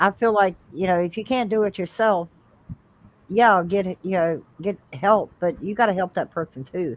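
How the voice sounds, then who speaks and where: Medium-pitched, moderately paced speech from a woman with a plain, everyday voice and ordinary pitch variation. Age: 60s. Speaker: livestream guest. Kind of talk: casual chat.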